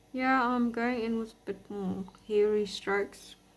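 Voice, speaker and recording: Quiet and at a fairly slow pace, a woman speaks with a fairly high pitch and fairly even intonation. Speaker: artist teaching drawing. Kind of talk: tutorial. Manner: quiet, relaxed.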